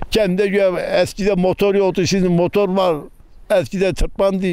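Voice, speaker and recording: A man's high-pitched voice, fairly even in intonation, at a moderate pace and very even loudness. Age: 70s. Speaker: villager, former shepherd. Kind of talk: casual interview. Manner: halting.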